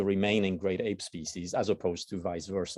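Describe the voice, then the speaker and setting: This man speaks with a Swiss German accent at a fairly quick pace. His pitch is fairly low. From German-speaking Switzerland. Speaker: biology researcher. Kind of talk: lecture. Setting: university seminar room with audience.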